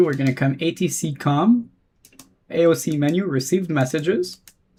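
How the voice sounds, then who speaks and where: A man talks with a French-Canadian accent. His pitch variation is ordinary. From Quebec. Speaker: flight sim streamer. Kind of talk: live stream commentary; radio phraseology. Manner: casual, chatty.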